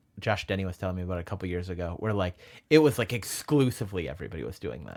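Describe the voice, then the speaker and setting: Over a very clean recording with a silent background, a man with a very deep, low voice and vocal fry talks very fast with lively intonation. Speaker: comedian. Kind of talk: casual chat.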